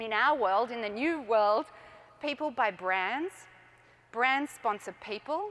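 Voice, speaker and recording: A fairly slow delivery in an Australian accent with lively intonation. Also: woman. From Australia, Melbourne. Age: 40s. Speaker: entrepreneur. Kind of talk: conference talk. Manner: animated.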